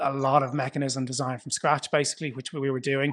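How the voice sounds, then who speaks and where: In an Irish accent, a man speaks fairly quickly at a fairly high pitch with monotone, flat intonation. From Ireland. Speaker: foundation founder. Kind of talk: interview. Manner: conversational, some hesitations.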